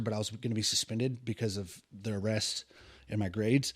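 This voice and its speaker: With an American accent, a man speaks in fairly even intonation in a very clean recording with a silent background. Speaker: preacher and former addict. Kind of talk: testimony. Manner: fast.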